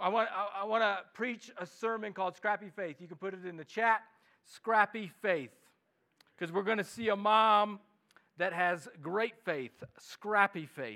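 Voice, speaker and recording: With a Midwestern accent, a man projects a raised, bright, sharp voice at a high pitch and a fairly slow pace, his loudness swinging widely. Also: ordinary pitch variation. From US Midwest. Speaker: pastor. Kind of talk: sermon. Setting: church.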